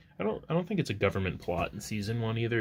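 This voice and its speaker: A man is speaking. His voice is soft-spoken. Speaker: artist. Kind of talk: casual chat. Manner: loud.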